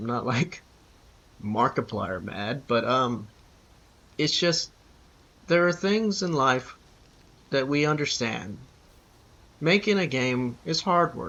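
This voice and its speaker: A man at a medium pitch talks very slowly with lively intonation, a bright, sharp tone and long, frequent pauses. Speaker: gamer vlogger. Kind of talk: rant. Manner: halting, stuttering.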